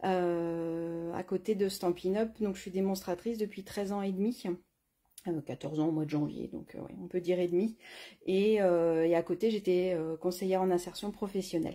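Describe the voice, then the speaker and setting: In a very clean recording with a silent background, a woman with a medium pitch speaks at a moderate pace in a dark, mellow tone with fairly even intonation. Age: 40s. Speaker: craft product demonstrator. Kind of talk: live craft tutorial stream. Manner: hesitant, many fillers.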